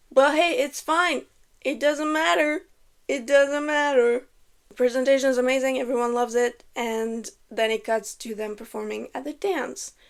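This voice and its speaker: A woman speaks in a French Canadian accent. Her pitch is high and her pace is moderate. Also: ordinary pitch variation. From Quebec, French Canada. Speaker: YouTuber, movie commentator. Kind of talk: casual movie commentary. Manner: casual, filler-heavy.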